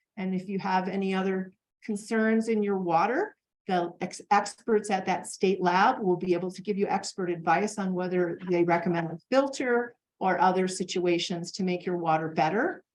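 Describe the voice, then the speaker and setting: An ordinary speaking voice moves at a moderate pace with fairly even intonation. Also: woman, medium pitch for a woman. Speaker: extension educator. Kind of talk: educational presentation.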